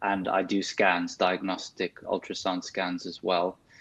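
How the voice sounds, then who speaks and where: Talking with a South African accent, a man speaks at a fairly slow pace in a very deep, low pitch. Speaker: consultant physiotherapist. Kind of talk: interview.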